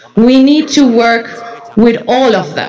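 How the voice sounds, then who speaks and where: A woman talks at a very slow pace with a high pitch and lively intonation. Noticeable background noise and audible room echo are present. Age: young. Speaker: youth representative on organic movement board. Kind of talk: conference talk. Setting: conference stage with audience.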